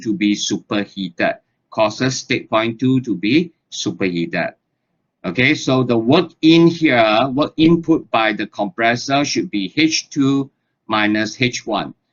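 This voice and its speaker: This man talks at a fairly slow pace, his medium pitch moving with ordinary variation. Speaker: lecturer. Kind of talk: lecture. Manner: says okay very often.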